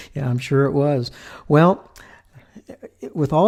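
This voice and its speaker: A man speaks at a moderate pace. His fairly high voice has a dark, mellow tone. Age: 70s. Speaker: podcast host. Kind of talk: interview conversation.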